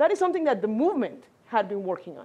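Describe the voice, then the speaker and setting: Talking very fast, a woman uses a Spanish accent. Her pitch is high and her tone dark and mellow. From Mexico. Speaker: congressional district director, immigrant advocate. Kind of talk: panel discussion.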